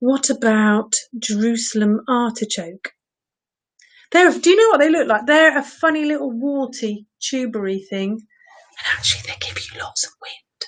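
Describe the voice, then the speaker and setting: A woman with an English accent speaks in a high pitch at a fairly slow pace. Her intonation is lively and her loudness swings widely. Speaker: vegetable-themed entertainer. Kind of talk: casual live-streamed chat. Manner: animated.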